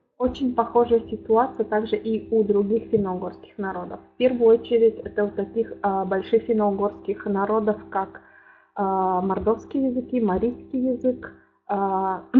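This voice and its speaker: At a moderate pace, a woman speaks with fairly even intonation. Her pitch sits in the medium range. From Udmurtia, Russia. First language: Udmurt (speaking Russian). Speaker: linguist, lecturer. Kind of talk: academic lecture. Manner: halting, many filler sounds.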